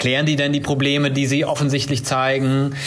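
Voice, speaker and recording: Noticeable background noise and audible room echo accompany this man as he talks. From Germany, Siegen (South Westphalia). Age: 30s. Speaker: startup founder. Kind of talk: interview. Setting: video call.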